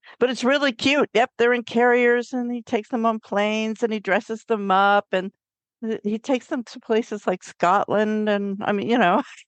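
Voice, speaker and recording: An ordinary speaking voice from a woman, fairly high in pitch, at a moderate pace. Her intonation stays fairly even, and the sound is dry and close with no echo. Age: 60s. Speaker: author and witchcraft teacher. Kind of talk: interview.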